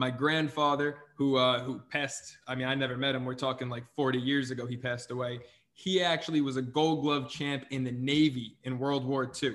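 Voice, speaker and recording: A man talks fairly quickly at a medium pitch, with flat, monotone intonation and hardly any pauses. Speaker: sports podcast host. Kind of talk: casual chat.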